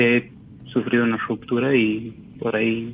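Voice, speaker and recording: The speaker is a man. He talks in a monotone, flat way. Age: 20s. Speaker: caller. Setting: phone call.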